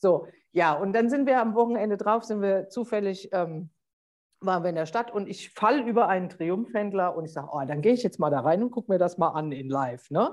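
Here a woman has a plain, everyday voice at medium pitch. She talks at a fairly quick pace with lively intonation. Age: 50s. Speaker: life coach and motorcyclist. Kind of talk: casual interview.

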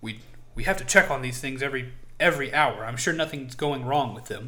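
A man puts on a gruff character voice at a medium pitch and a moderate pace. Light background noise sits behind him.

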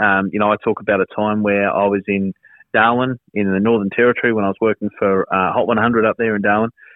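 A fairly low-pitched man with an Australian accent at a fairly quick pace. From South Australia, Whyalla. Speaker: radio presenter and content director. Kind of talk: casual interview.

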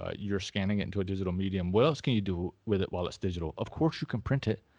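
With an American accent, a man talks at a very fast pace in a fairly low pitch against a quiet background. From US South. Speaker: podcast co-host, film photographer. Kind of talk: casual chat.

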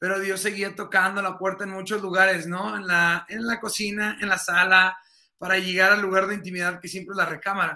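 A man with a high pitch uses a raised, projected voice at a fairly quick pace. His intonation is monotone and flat. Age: 30s. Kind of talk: casual interview about faith.

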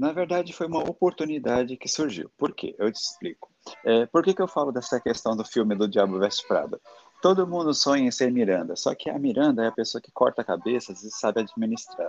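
Fairly quick and fairly high-pitched, a man speaks with very wide pitch swings and big swings in loudness. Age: 40s. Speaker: confectioner, former fashion worker. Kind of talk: casual interview chat. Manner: animated.

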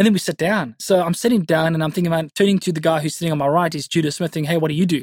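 A man with a South African accent speaks in a high, energetic voice with ordinary pitch variation, recorded very cleanly against a silent background with a dry, close sound and no echo. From South Africa, Cape Town northern suburbs. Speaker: youth pastor. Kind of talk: interview. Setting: studio.

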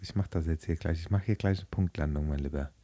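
On a very clean recording with a silent background, a man sounds animated, his voice dry and close with no echo. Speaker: podcast co-host, quiz contestant. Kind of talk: casual chat.

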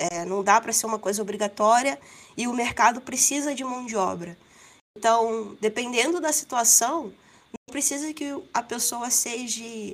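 The speaker has a plain, everyday voice. The pace is fairly slow, with ordinary pitch variation. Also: woman, fairly high pitch for a woman. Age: 30s. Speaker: back-end developer. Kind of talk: casual panel discussion.

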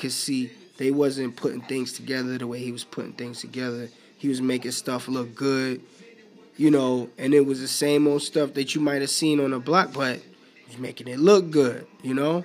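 In an American accent, a man with a plain, everyday voice and a fairly high pitch speaks at a moderate pace. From New York City (Bronx). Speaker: podcast host. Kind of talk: solo casual monologue. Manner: relaxed, conversational.

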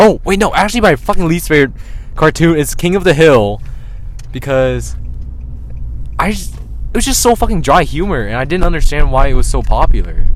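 The speech comes at a very fast pace. Noticeable background noise runs underneath it. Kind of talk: casual chat. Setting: car ride. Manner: laughs a lot, casual, profane.

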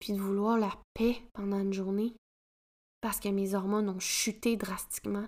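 In a Quebec accent, a woman speaks at a medium pitch with monotone, flat intonation and long, frequent pauses. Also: moderate pace. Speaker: podcast host, women's coach. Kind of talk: solo podcast monologue.

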